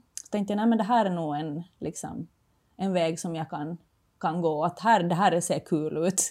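A woman's voice, a normal speaking voice, fairly low in pitch, with ordinary pitch variation, at a moderate pace, on a very clean recording with a silent background. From Finland. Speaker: former floorball player, entrepreneur. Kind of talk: casual interview.

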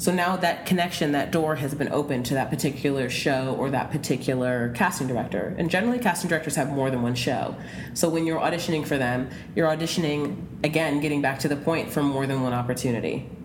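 Over noticeable background noise, a woman talks very fast in a very deep, low pitch, with ordinary pitch variation and very even loudness. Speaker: casting director. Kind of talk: interview.

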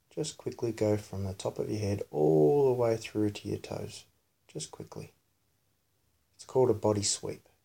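In a very clean recording with a silent background, a man speaks at a moderate pace in a fairly low pitch, his dark, mellow tone somewhat breathy and his pitch variation ordinary. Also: long, frequent pauses, big swings in loudness. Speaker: podcast host and parent leading meditation. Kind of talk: guided meditation, body scan and breath focus, spoken to a child. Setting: home recording of a bedtime session with his daughter. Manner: soft-spoken, instructive and reassuring.

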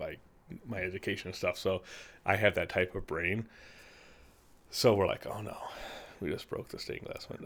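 Pausing long and often, a man speaks at a moderate pace with big swings in loudness on a very clean recording with a silent background. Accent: Midwestern American. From US Midwest, Peru, Illinois. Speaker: church council chair. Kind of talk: casual chat.

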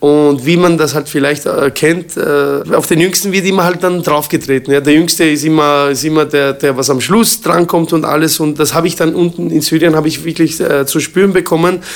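A man with a fairly high pitch at a moderate pace, very even in loudness and fairly even in intonation, with hardly any pauses, over noticeable background noise. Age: 40s. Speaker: kickboxing champion and gym owner. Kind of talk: interview. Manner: hesitant, many fillers.

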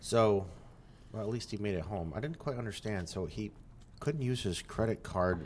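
Using lively intonation, a man with an American accent talks at a moderate pace. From upstate New York. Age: 40s. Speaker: Air Force veteran. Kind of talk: casual chat.

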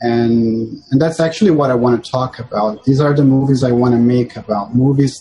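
In a Portuguese accent, a man speaks at a medium pitch with a dark, mellow tone that is somewhat breathy. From Brazil, Sao Paulo. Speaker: filmmaker, former lawyer. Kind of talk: interview. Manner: halting, with frequent repetitions.

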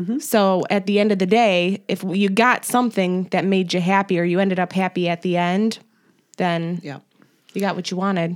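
A woman's unremarkable speaking voice at a moderate pace, with fairly even intonation. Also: medium pitch for a woman, very clean recording, silent background. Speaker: podcast host. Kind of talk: casual chat.

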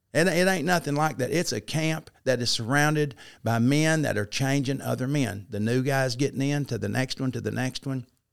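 A man with an Arkansas accent at a medium pitch and moderate pace, hardly any pauses, ordinary pitch variation, and a very clean recording with a silent background. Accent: Southern US (Arkansas). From Arkansas, US South. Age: 50s. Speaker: former football coach and teacher in recovery. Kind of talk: testimony.

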